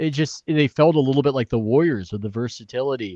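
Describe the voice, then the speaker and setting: A man speaks with a Californian accent and ordinary pitch variation. The sound is dry and close, with no echo. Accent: Californian American. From San Diego, California. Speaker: sports writer. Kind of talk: interview. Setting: video call from home office.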